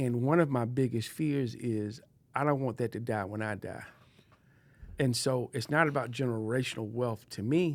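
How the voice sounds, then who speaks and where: Using an unremarkable speaking voice, a man talks at a moderate pace with a medium pitch and ordinary pitch variation. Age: 60s. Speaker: podcast co-host and advocate. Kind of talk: casual chat.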